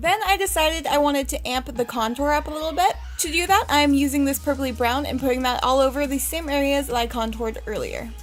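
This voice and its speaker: Over music in the background, a woman speaks at a very fast pace with a high pitch and ordinary pitch variation. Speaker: makeup artist. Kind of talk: tutorial. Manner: casual.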